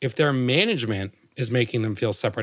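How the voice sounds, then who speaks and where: The man's tone is animated, his pitch variation is ordinary, and the sound is dry and close with no echo. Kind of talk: casual chat. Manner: jokey, animated.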